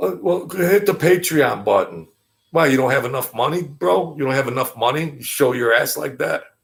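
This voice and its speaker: A man in a New York accent talks at a moderate pace with an animated tone. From Brooklyn, New York. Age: 50s. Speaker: YouTube commentator. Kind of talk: casual live-stream monologue. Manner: animated, repetitive stammering.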